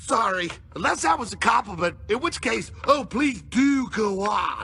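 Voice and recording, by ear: Over light background noise, a man puts on a high, cartoonish character voice at a moderate pace.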